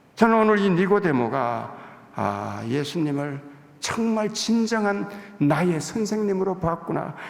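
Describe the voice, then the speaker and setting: A man's high-pitched, lively voice at a very slow pace, with audible room echo. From Gyeongsang province, South Korea. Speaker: visiting pastor. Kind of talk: sermon. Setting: church pulpit.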